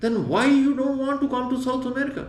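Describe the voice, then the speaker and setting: The speech moves at a fairly quick pace. Room echo is audible, and there is noticeable background noise. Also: man. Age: 60s. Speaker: retired traveler, backpacker. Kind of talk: interview. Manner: halting.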